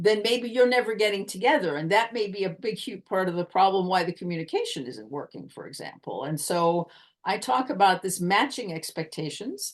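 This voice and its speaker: A woman with an American accent talks fairly quickly, barely pausing, at medium pitch with lively intonation. She has a normal speaking voice, and her loudness swings a great deal. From United States. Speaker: communication coach. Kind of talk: podcast interview answer.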